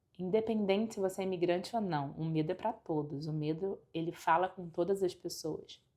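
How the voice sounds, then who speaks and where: A woman speaks with a fairly low, dark, mellow voice and fairly even intonation. Her pace is moderate, with hardly any pauses. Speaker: life coach / motivational vlogger. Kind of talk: motivational talk to camera. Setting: at home by a window.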